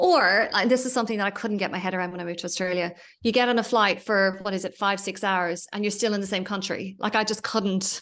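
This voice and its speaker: Very fast speech in an Irish accent with hardly any pauses, over a quiet background. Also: woman, medium pitch for a woman. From Ireland. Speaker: entrepreneur and business mentor. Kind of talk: podcast interview. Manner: animated.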